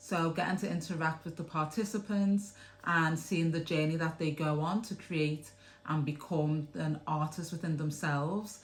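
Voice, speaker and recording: A woman's very deep, low voice in a Liverpool accent, somewhat breathy, with fairly even intonation at a moderate pace. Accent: Scouse. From Liverpool, England. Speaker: theatre producer. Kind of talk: interview answer.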